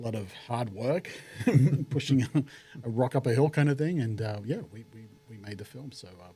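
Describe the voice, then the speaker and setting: The voice is dark and mellow, somewhat breathy, with an Australian accent. It moves at a moderate pace with ordinary pitch variation. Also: man. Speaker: actor and film producer. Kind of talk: podcast interview.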